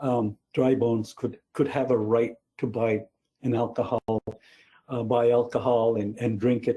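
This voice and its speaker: A man speaks at a medium pitch in a dark, mellow, somewhat breathy tone. His delivery is monotone and flat, at a fairly slow pace with long, frequent pauses. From New Brunswick, Canada (Mi'kmaq reserve). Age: 70s. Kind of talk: lecture. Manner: halting, many fillers and repeats.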